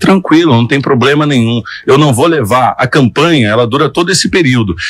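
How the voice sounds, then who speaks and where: This man's voice sits at medium pitch with ordinary pitch variation. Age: 30s. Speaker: radio journalist and mayoral candidate. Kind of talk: interview.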